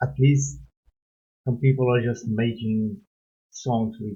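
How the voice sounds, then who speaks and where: The speaker has a non-native accent and a somewhat breathy voice. Intonation is lively. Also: man. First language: not English. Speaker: music reaction youtuber. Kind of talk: reaction video commentary. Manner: animated.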